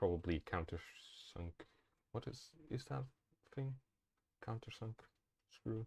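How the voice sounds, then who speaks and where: Over a silent background in a very clean, dry, close recording with no echo, a man with a medium pitch speaks at a fairly slow pace with long, frequent pauses, a somewhat breathy voice and lively intonation. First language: not English. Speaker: streamer. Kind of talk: live-stream tutorial. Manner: halting, many fillers.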